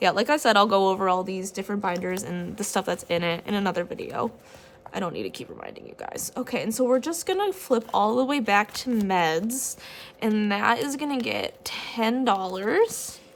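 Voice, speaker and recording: Over noticeable background noise, a woman with a fairly high pitch speaks with big swings in loudness. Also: ordinary pitch variation, moderate pace. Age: 30s. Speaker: budgeting vlogger. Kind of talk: casual tutorial vlog. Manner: animated; varied tones and voices.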